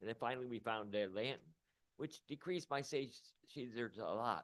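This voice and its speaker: A man speaks at a fairly quick pace in an unremarkable speaking voice, his medium pitch carrying ordinary pitch variation. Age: 60s. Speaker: radio host and cannabis patient testifying. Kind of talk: public hearing testimony.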